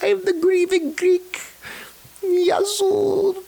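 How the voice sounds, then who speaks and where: At an extremely high pitch, someone talks in a put-on character voice. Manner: exaggerated, unsure accent.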